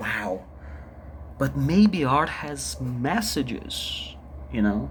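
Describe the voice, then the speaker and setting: Very slow speech amid noticeable background noise and audible room echo. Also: man. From Brazil. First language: Portuguese. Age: 30s. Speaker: vlogger, artist. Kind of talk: personal vlog monologue. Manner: halting, repetitive.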